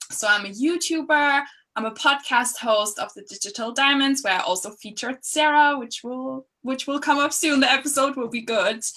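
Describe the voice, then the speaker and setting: Projecting a raised voice with a bright, sharp tone, a woman speaks at high pitch and a moderate pace with ordinary pitch variation, big swings in loudness, hardly any pauses and an enthusiastic tone. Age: 20s. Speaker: YouTuber and social media coach. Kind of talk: casual chat.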